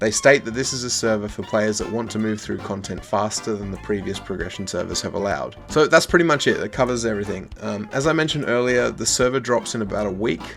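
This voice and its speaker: Over music in the background, a man with a fairly low pitch speaks at a very fast pace with ordinary pitch variation and hardly any pauses. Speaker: gaming video creator. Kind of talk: casual gaming news commentary.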